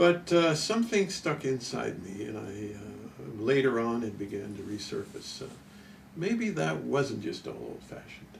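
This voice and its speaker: A man speaks at a fairly slow pace, with audible echo from the room. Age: 70s. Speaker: health researcher and product inventor. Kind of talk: interview. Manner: halting, frequent uh.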